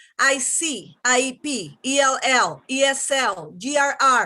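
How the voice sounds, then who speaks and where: A woman's raised, projected voice with a Spanish accent, high in pitch and bright and sharp in tone, over a quiet background. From Venezuela. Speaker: teacher, public commenter. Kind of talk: prepared public comment.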